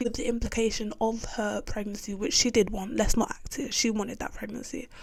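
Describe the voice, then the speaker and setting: With noticeable background noise, a woman talks at a fairly quick pace and a fairly high pitch. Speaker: YouTuber reviewing a TV show. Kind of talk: casual rant to camera. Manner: loud; animated. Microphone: audio may be distorted.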